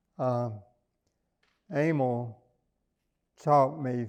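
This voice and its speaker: A man speaks very slowly with a Southern US accent. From US South, small-town Arkansas. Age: 80s+. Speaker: businessman and philanthropist. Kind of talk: oral history interview. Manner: halting, many fillers.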